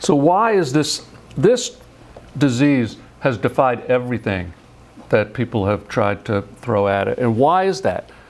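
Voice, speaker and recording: A man at a fairly slow pace, very wide pitch swings, noticeable background noise behind him. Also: medium pitch for a man. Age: 60s. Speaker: scientist. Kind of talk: lecture. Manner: halting, with frequent repetitions.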